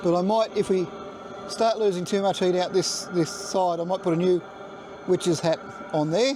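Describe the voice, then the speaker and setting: The speaker, with an Australian accent, talks at a moderate pace with long, frequent pauses, fairly even intonation, and very even loudness. There is noticeable background noise. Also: man, high pitch for a man. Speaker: DIY and maker channel host. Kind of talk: casual video tour. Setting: in a shed, then outdoors. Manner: halting with fillers and repeats; loud, yelling over heater noise.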